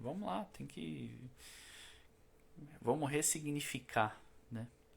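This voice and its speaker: A man is speaking. His voice has vocal fry. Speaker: spiritist lecturer. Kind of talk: spiritual talk. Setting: live stream. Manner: slow; casual, conversational.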